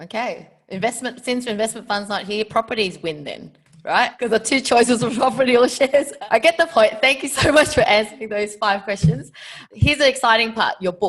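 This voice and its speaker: Speaking at a fairly quick pace, a woman uses an unremarkable speaking voice, fairly high in pitch with lively intonation. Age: 30s. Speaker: podcast host. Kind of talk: interview.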